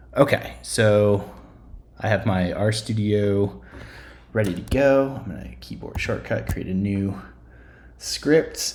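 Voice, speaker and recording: A man speaks at a very slow pace with a fairly low pitch. His intonation is lively and his voice somewhat breathy. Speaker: statistics instructor. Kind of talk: screencast tutorial. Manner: hesitant, many fillers.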